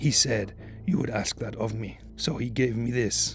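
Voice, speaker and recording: Over clear music in the background, a man uses a raspy, put-on character voice at a moderate pace. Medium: read story. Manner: quiet, weary, patient.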